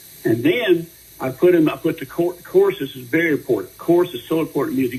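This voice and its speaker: Noticeable background noise sits behind this recording. A man talks at a very fast pace. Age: 70s. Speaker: singer-songwriter. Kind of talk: radio interview. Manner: halting.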